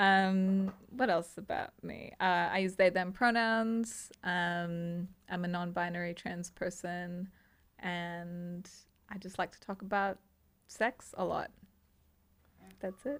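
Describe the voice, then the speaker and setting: A woman with an American accent speaks in a medium pitch and fairly even intonation on a very clean recording with a silent background. Her pace is very slow, with long, frequent pauses. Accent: sounds American, per own remark. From grew up internationally, international schools. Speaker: somatic sex educator. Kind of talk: casual podcast chat.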